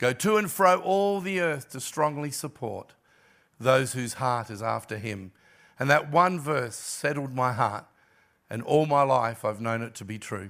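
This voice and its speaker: Recorded very cleanly against a silent background, a man with an ordinary speaking voice talks at medium pitch and a fairly slow pace with lively intonation. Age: 60s. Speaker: guest pastor. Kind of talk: sermon. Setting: church.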